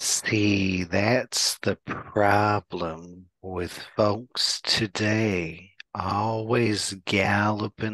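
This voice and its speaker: A man in a put-on character voice speaks at a fairly low pitch and a very slow pace, with hardly any pauses. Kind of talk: folksy. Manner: very slow, drawn-out.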